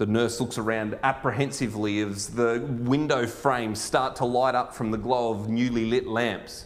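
A man talks with hardly any pauses. His intonation is monotone and flat. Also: moderate pace. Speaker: pastor and school chaplain; pastor. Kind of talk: sermon. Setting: church. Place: church.

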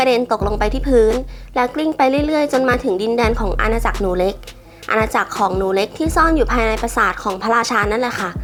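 Over music in the background, a woman speaks at a fairly high pitch. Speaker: movie recap narrator. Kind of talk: animated film plot recap narration. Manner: friendly, casual.

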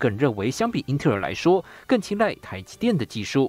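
A man talks at a fairly quick pace with a fairly high pitch and vocal fry. His pitch swings very widely, and the sound is dry and close with no echo. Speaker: TV news reporter. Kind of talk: news report.

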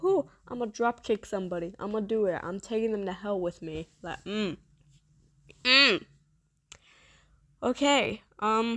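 A woman's fairly high, bright, sharp voice, animated, with ordinary pitch variation, a fairly slow pace and long, frequent pauses, in a dry, close sound with no echo and a very clean recording with a silent background. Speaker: gaming streamer. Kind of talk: gameplay commentary, casual. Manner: animated, halting with restarts.

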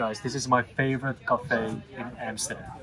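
A man at a fairly slow pace, over noticeable background noise. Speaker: food vlogger. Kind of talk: casual vlog chat. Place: cafe.

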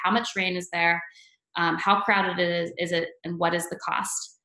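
Against a quiet background, a woman talks at a moderate pace with audible room echo. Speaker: presenter. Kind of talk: webinar presentation. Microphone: webcam.

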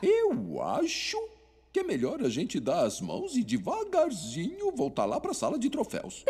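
The speaker uses a cartoonish character voice. The pace is moderate. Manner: airy, odd.

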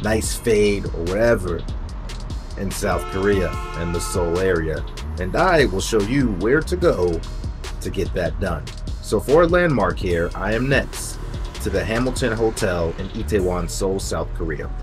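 A man speaks at a fairly slow pace while clear music plays behind him. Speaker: travel vlogger. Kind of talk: casual vlog chat. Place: street. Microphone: phone near.

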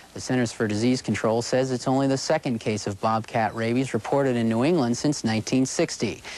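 The speech runs at a fairly quick pace with hardly any pauses and very even loudness, over noticeable background noise. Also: man, medium pitch for a man. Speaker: TV news reporter. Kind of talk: TV news report.

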